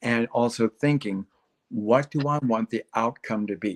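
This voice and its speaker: In a dry, close sound with no echo, a man with an American accent uses an ordinary speaking voice with ordinary pitch variation. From Texas. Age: 60s. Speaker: gardening expert. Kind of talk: casual interview chat on a livestream. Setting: live online stream.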